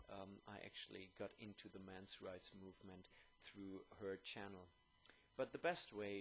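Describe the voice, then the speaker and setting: With a German accent, a man speaks at a fairly low pitch and a fairly slow pace. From Germany. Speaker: YouTuber. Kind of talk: video monologue. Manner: hesitant, many fillers.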